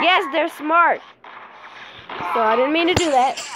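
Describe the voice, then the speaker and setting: Over loud background noise, a woman speaks with lively intonation. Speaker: gaming youtuber; mobile gamer. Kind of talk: gameplay commentary; casual gameplay commentary. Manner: casual, hesitant with fillers.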